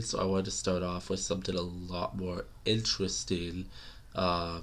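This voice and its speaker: At a moderate pace, a man with an American accent speaks in a very deep, low pitch. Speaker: English teacher. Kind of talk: casual language lesson to camera. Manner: casual, hesitant, many fillers.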